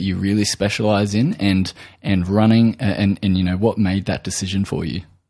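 A man's fairly low, dark, mellow voice with ordinary pitch variation at a moderate pace, on a very clean recording with a silent background. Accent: Australian. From Australia. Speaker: podcast host, nutritional therapist. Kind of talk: interview. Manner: halting, many fillers.

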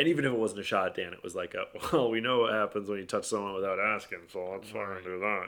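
A man with a fairly low pitch and a bright, sharp tone speaks with ordinary pitch variation. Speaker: podcast host. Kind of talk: casual chat. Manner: stuttering, halting.

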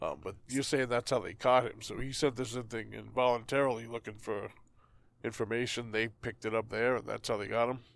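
Very clean recording with a silent background. A man with a Boston accent speaks fairly quickly at a medium pitch, his intonation flat and monotone. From Boston area, US. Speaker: podcast co-host. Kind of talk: casual chat.

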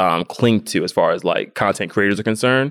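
With an American accent, a man speaks in a normal speaking voice, the sound dry and close with no echo. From US South, Atlanta, Georgia. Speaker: YouTuber and content marketer. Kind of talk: interview conversation. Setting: conference.

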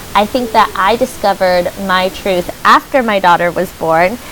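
Noticeable background noise runs under this recording. A woman talks at a fairly slow pace with fairly even intonation. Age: 20s. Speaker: podcast host and self love coach. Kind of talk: casual chat.

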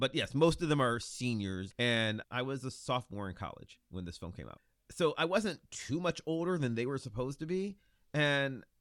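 A man speaks at a moderate pace in an Ohio accent. His pitch swings very widely. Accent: Midwestern US (Ohio). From Ohio, Lorain near Cleveland. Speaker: podcaster guest. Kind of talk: casual chat.

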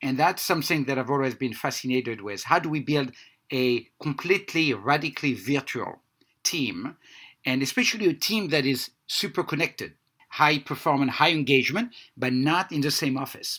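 Speaking with a non-native accent at a moderate pace, a man uses a fairly high pitch, a bright, sharp tone and ordinary pitch variation on a very clean recording with a silent background. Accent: noticeable foreign. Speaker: healthcare data company founder. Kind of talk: interview conversation. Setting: based in San Francisco.

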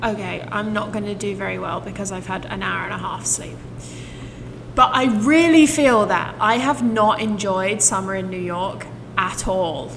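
Lively intonation and big swings in loudness come through with audible room echo and noticeable background noise. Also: woman, medium pitch for a woman, moderate pace. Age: 20s. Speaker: podcast co-host. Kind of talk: casual chat.

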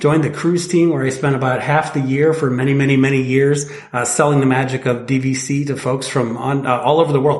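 A man with an American accent and a fairly high pitch speaks at a fairly quick pace with fairly even intonation, amid audible room echo and noticeable background noise. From Northwest Indiana. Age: 40s. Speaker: timeshare resale company representative. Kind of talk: casual interview chat.

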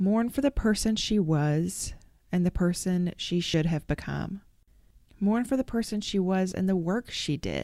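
Speaking fairly slowly with an American accent, a woman uses a medium pitch, a dark, mellow tone and lively intonation. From Arkansas. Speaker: podcast host. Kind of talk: interview conversation.

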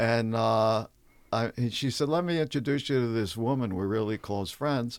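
A man with a New York accent speaks at a moderate pace and medium pitch, with ordinary pitch variation and very even loudness. The recording is very clean, with a silent background. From New York City. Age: 70s. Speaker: stand-up comedian. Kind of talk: casual interview chat with anecdotes.

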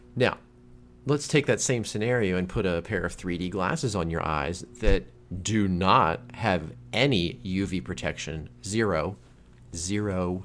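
The intonation is lively. The talking is fairly slow. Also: man, very deep, low pitch for a man. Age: 30s. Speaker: podcast co-host. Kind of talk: casual chat.

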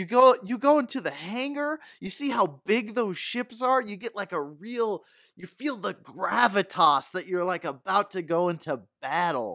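In a raised, projected voice at a high pitch, a man speaks at a moderate pace with very wide pitch swings on a very clean recording with a silent background. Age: 30s. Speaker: movie fan guest. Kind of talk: casual chat.

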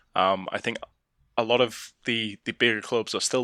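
With an English accent, a man speaks at medium pitch in a bright, sharp tone. His intonation is fairly even, and the sound is dry and close with no echo. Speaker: football fan pundit. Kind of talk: casual chat. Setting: remote call.

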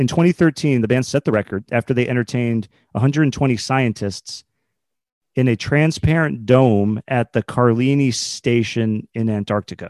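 Here is an unremarkable speaking voice at a fairly slow pace with ordinary pitch variation, a quiet background and a dry, close sound with no echo. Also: man, medium pitch for a man. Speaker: quiz contestant.

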